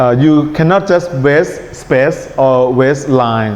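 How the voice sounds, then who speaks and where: A man speaks with a strong Thai accent. Noticeable background noise and audible room echo are present. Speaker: English test teacher. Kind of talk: lecture. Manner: relaxed tone.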